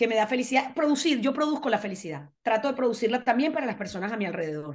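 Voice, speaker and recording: This is a woman speaking. Her pitch is high. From Venezuela. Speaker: foundation manager; interviewee. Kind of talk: casual interview. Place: home room. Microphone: video call.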